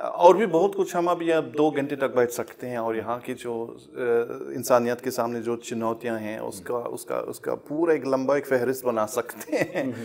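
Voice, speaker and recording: A man talks at a fairly slow pace with a German accent. He hardly pauses, and his pitch varies in an ordinary way. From Germany. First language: German (speaking Hindi). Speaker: professor; interviewed professor guest. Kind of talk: interview. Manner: halting. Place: studio. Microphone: lapel.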